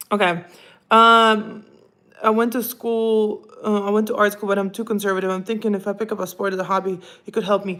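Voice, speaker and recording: A woman speaks at a fairly quick pace in a medium pitch, with an animated, bright, sharp tone. The recording is very clean, with a silent background. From Russia (Krasnoyarsk). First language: Russian. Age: 30s. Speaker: tennis player and podcast host. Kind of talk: livestream chat reading viewer comments.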